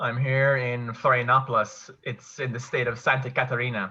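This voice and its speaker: A bright, sharp tone in a Kerry accent. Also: man. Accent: Kerry Irish. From Ireland, County Kerry. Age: 20s. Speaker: online English teacher. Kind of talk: casual interview chat.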